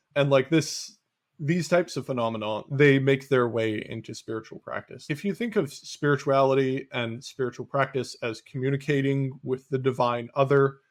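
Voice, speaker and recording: Here a man speaks at a fairly high pitch. His moderate pace has hardly any pauses. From Canada. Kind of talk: podcast conversation. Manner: monotone.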